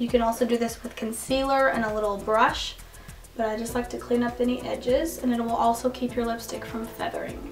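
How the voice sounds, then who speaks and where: The voice is quiet. Music plays in the background. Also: woman. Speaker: beauty vlogger. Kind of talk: makeup tutorial to camera.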